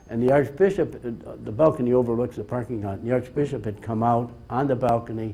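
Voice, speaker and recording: A man talks at a fairly quick pace with ordinary pitch variation. His tone is dark and mellow and somewhat breathy. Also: medium pitch for a man, hardly any pauses. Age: 80s+. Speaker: bishop. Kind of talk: slide presentation talk. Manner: halting.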